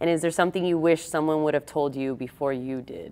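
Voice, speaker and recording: A woman speaks with a very deep, low pitch. Her pitch varies in an ordinary way. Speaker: podcast host. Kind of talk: casual interview chat. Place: gym. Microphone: lapel.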